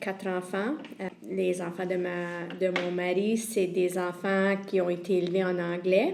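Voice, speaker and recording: This voice has an Acadian accent and a monotone, flat intonation. Noticeable background noise runs underneath. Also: woman. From Évangéline region, Prince Edward Island. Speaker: community organization director. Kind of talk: personal introduction.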